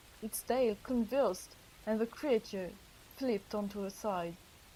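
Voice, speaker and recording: In a French accent, a woman speaks with a dark, mellow tone. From France. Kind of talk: audiobook reading.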